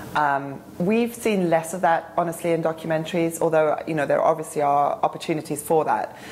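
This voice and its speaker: A woman talks with hardly any pauses and ordinary pitch variation. Background noise is noticeable. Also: fairly quick pace. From South Africa. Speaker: film institute digital director. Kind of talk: interview answer.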